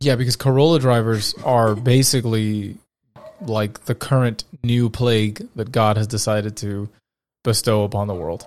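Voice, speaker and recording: This man's pitch sits in the medium range. He keeps to a moderate pace. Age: 30s. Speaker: podcast host. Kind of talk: casual chat. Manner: animated.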